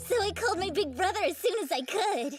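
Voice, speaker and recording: Over faint music in the background, a woman in a put-on character voice speaks at a fairly quick pace at an extremely high pitch. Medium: fan dub. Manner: lively, eager.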